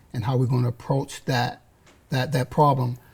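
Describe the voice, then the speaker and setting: At a moderate pace, a man speaks in a medium pitch. His tone is dark and mellow, and somewhat breathy. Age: 60s. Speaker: community youth services worker. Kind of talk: panel discussion. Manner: halting, repeats words.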